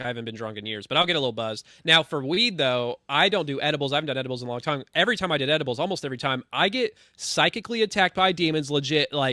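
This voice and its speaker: Fairly high in pitch, a man speaks at a very fast pace. His tone is animated. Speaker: podcast guest. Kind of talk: casual chat. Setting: podcast conversation.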